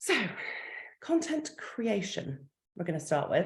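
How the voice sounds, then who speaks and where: There is some breathiness in the voice. The speaker is a woman. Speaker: marketing coach. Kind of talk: online workshop. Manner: fast.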